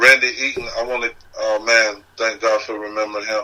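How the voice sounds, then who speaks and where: A man with an American accent, medium pitch, fairly quick pace and monotone, flat intonation, with noticeable background noise. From South Carolina (Horry County). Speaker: independent music artist. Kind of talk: casual chat.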